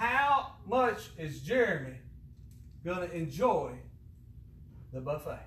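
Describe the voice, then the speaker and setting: Over noticeable background noise, a man speaks at a very slow pace in a high pitch with very wide swings and long, frequent pauses. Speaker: pastor leading service. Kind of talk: church service. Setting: church.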